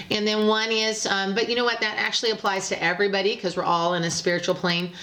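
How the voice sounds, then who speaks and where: Amid noticeable background noise, a woman at a medium pitch talks very fast with very even loudness. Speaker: psychic tarot reader. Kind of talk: tarot reading monologue. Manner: hesitant, many fillers.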